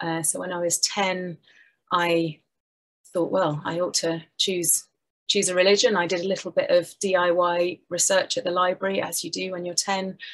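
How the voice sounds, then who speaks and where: A woman speaks in a fairly low pitch at a moderate pace. Her intonation stays monotone and flat. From England, Somerset; England. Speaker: minister; minister presenting her work. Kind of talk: talk to an online audience. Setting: online event. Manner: hesitant, many fillers. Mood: warm, friendly. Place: home room. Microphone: webcam.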